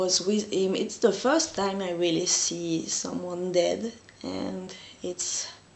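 In a room with audible echo, a woman talks at a very slow pace with vocal fry and little pitch movement.

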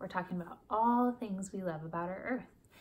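The voice is somewhat breathy. Light background noise can be heard. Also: woman. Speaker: teacher. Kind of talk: read-aloud lesson for children. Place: home room. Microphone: phone near.

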